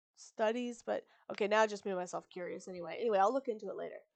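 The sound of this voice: The clip features an unforced reading voice. Its pitch variation is ordinary.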